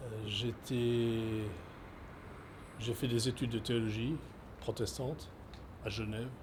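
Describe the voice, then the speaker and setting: A man at a very slow pace, somewhat breathy, with monotone, flat intonation and long, frequent pauses. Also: medium pitch for a man. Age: 70s. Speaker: former pastor and migrant rights activist. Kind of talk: interview testimony. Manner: halting, many hesitations.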